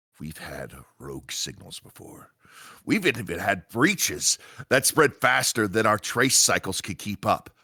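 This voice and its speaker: A raspy put-on character voice from a man, medium in pitch and at a moderate pace. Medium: audio drama.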